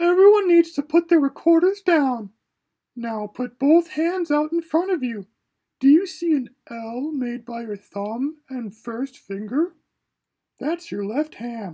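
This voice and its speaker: High-pitched and at a fairly slow pace, the speaker performs a put-on character voice. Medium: read story. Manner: patient, gentle.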